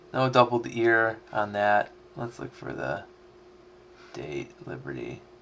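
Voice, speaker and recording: A man with a fairly low voice talks very slowly in a relaxed tone, taking long, frequent pauses. His pitch swings very widely, his loudness varies a lot, and background noise is noticeable. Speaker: coin collector streamer. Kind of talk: live stream commentary. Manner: mumbling at times; casual, relaxed.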